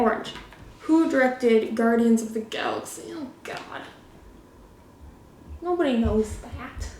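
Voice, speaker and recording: Amid noticeable background noise and audible room echo, the speaker mumbles at a fairly slow pace with big swings in loudness and long, frequent pauses. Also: woman, high pitch for a woman, lively intonation. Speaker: YouTuber. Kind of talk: casual solo trivia game. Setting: living room. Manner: mumbling, slurred words.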